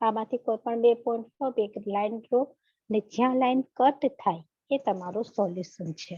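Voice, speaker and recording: A woman with a Gujarati accent speaks loudly at a very slow pace. The sound is dry and close, with no echo. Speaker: math teacher. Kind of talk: online lecture. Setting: online class. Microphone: students report audio problem with her voice.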